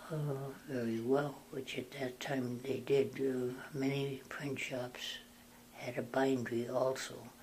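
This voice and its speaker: Speaking very slowly in a monotone, flat delivery, a man with an American accent sounds somewhat breathy. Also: medium pitch for a man. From North Dakota, USA. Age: 80s+. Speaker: Benedictine monk. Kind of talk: interview answer.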